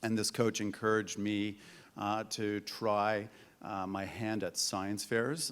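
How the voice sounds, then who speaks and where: In a very clean recording with a silent background, a man with a Canadian accent uses a normal speaking voice, fairly low in pitch, at a fairly slow pace. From Canada, Hamilton, Ontario. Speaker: tech entrepreneur. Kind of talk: panel discussion.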